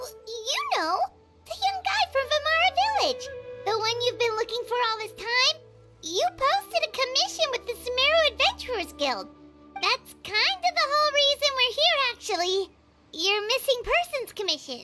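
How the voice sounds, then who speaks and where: A squeaky, put-on character voice at an extremely high pitch speaks at a moderate pace, with faint music in the background. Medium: machinima. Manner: chatty, expressive.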